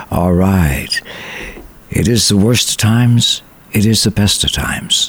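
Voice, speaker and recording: Over noticeable background noise, a man speaks at a fairly slow pace in a fairly low pitch, with a warm, upbeat tone and ordinary pitch variation. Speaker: radio host. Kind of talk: radio show hosting, casual and warm. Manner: warm, upbeat, chatty.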